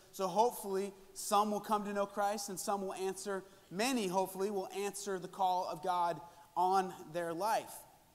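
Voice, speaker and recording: A man with a high pitch speaks in a monotone, flat intonation. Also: moderate pace. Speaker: conference preacher. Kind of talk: sermon. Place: hall.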